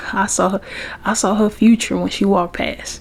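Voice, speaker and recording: Soft-spoken and medium-pitched, a woman talks at a fairly slow pace over noticeable background noise. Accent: Southern US. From Memphis, Tennessee. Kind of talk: ASMR soft-spoken talk to camera.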